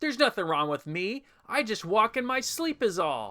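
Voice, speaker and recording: A man's put-on character voice, high for a male, raised and projected, with very wide pitch swings at a moderate pace, recorded dry and close with no echo. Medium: audio drama. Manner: blustering.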